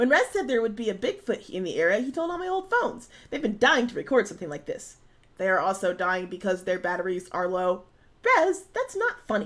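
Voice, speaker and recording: Fairly quick in pace, a woman puts on a character voice. Her pitch sits fairly high. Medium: game stream.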